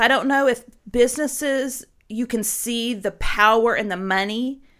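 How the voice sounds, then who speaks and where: A bright, sharp, animated tone with ordinary pitch variation, in a very clean recording with a silent background. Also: woman. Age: 40s. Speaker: podcast co-host. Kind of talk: casual chat.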